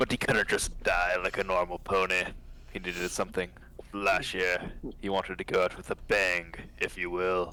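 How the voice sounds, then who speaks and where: Over clear background noise, a man does a put-on character voice in a very deep, low pitch at a moderate pace. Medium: read story. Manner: breezy, smug.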